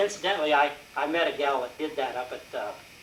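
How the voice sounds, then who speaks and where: A man with an American accent speaks at a moderate pace and a fairly high pitch. Noticeable background noise and audible room echo fill the recording. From Colorado, US. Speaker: war veteran. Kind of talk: talk to audience. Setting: meeting with audience. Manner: halting.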